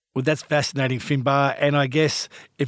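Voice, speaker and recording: Heard on a very clean recording with a silent background, the speaker has an Australian accent and talks at a moderate pace in a monotone, flat intonation. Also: man. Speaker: podcast host and editor. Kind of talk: interview.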